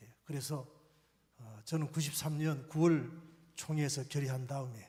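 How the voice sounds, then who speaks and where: Ordinary pitch variation in a man's voice, somewhat breathy. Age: 60s. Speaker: pastor. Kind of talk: conference talk.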